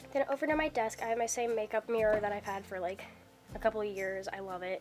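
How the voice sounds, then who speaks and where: Over music in the background, a woman talks at a very fast pace with medium pitch and ordinary pitch variation. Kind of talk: casual talk to camera. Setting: indoors, dorm room.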